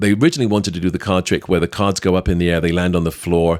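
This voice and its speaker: A man's very deep, low voice with a British accent, on a very clean recording with a silent background. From Britain. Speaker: magician and actor. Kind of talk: podcast storytelling.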